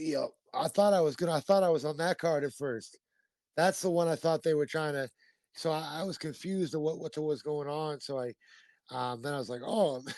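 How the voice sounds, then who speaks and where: Against a quiet background, a man with a fairly high pitch speaks at a fairly quick pace with ordinary pitch variation. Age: 30s. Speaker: bare-knuckle fighter. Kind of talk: casual chat. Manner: animated.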